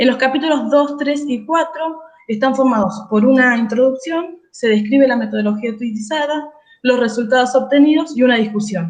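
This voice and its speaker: With audible room echo around her, a woman speaks at a high pitch with ordinary pitch variation. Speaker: doctoral candidate. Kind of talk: thesis defense presentation. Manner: fast.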